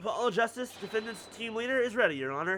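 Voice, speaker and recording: A booming, put-on character voice with a fairly high pitch rattles along at a very fast pace over faint music in the background. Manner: chipper, confident.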